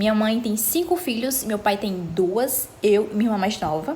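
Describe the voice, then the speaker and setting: With lively intonation and a fairly high pitch, a woman speaks at a fairly slow pace over noticeable background noise. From Brazil, Ceará (Fortaleza area). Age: 20s. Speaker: vlogger. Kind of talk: casual chat.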